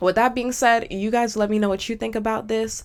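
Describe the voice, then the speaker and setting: On a very clean recording with a silent background, a woman speaks in an animated tone at a fairly quick pace. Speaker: commentary YouTuber. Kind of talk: reaction commentary. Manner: fast.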